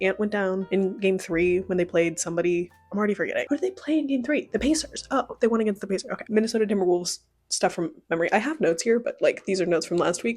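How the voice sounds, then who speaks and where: There is music in the background as a woman talks at a very fast pace. Her intonation is lively. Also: medium pitch for a woman. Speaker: book youtuber. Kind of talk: casual talk to camera. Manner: fast, chatty.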